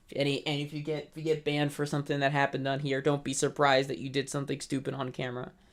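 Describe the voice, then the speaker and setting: The delivery is very fast. There are hardly any pauses. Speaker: livestream host presenting game updates. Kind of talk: casual livestream presentation. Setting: live stream. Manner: loud.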